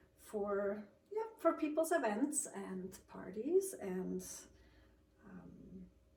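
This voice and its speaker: Speaking at a very slow pace with long, frequent pauses, this voice carries a slight Swiss accent, and room echo can be heard. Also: woman. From Switzerland. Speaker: sleep technician and cookie baker. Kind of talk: casual interview. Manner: hesitant, many ums.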